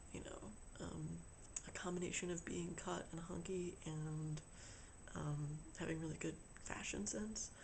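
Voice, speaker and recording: Pausing long and often, a man talks at a fairly slow pace with a fairly high pitch, ordinary pitch variation and very even loudness, and audible room echo surrounds him. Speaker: vlogger. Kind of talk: video diary. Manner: halting, many fillers.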